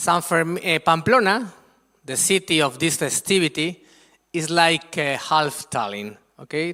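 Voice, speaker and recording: Speaking in a Spanish accent at a fairly slow pace, a man uses a high-pitched voice with a bright, sharp tone and lively intonation, in a very clean, silent-background recording with a dry, close sound and no echo. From Spain, Madrid. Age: 50s. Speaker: guest lecturer on Spanish culture. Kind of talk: presentation to school students. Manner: animated.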